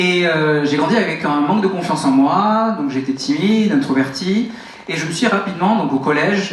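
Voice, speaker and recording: A man speaks at a moderate pace with lively intonation. Audible room echo and noticeable background noise fill the recording. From France, Toulouse. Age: 30s. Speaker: network marketing motivational speaker. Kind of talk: motivational talk on stage. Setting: stage with audience. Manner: animated.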